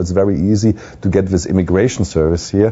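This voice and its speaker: Very deep, low-pitched man at a fairly quick pace. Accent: German. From Germany. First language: German. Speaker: poker pro. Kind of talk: video blog. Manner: halting.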